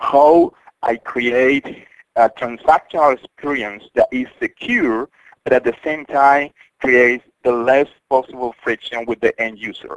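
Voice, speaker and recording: With a Spanish accent, a man speaks at medium pitch and fairly even intonation, recorded dry and close with no echo. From Colombia. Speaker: cybersecurity company CEO. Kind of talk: interview.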